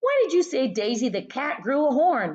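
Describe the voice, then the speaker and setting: A woman puts on a character voice, pitched high and moving at a moderate pace. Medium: read story.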